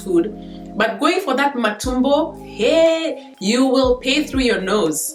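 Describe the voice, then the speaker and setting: Over music in the background, a woman with a high pitch speaks very slowly with lively intonation. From Kenya. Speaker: vlogger. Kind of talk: casual talk to camera.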